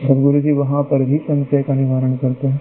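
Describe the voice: A man speaks at a moderate pace and medium pitch, his intonation monotone and flat.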